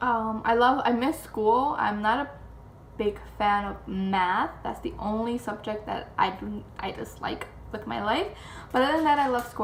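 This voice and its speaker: Moderate pace with audible room echo. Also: woman. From Chicago area, Mexican-American family. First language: Spanish. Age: 20s. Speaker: vlogger. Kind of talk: casual chat.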